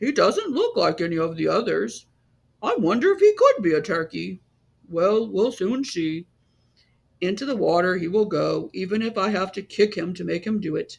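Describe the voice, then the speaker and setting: The speaker puts on a character voice pitched in the middle range. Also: moderate pace. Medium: read story. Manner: quacky, over the top.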